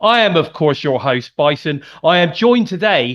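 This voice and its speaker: A man with a slight Birmingham accent, high pitch and very wide pitch swings, against a quiet background. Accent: slight Midlands (Birmingham). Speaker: podcast host. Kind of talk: interview podcast.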